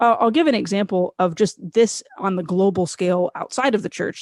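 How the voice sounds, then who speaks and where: Here is a woman with an American accent. Her voice sounds dry and close, without echo. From United States. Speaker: author, speaker and radio host. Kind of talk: interview conversation.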